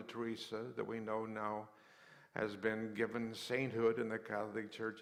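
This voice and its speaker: A man with an American accent talks at a moderate pace in a medium pitch. Audible room echo surrounds his voice. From US West, rural western Colorado. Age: 70s. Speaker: mission charity founder. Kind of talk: interview testimony in church service. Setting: church service with congregation. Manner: halting, with repeated words.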